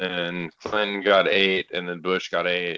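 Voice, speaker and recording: A man with an American accent speaks at a fairly slow pace in a very deep, low voice with monotone, flat intonation. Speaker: guest. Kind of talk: casual chat. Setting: phone call.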